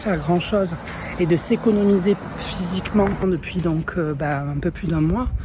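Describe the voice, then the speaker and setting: With noticeable background noise behind her, a woman speaks at a moderate pace in a fairly low pitch with ordinary pitch variation. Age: 30s. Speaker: vlogger. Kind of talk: vlog. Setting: outdoors in the street. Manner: hesitant, many fillers.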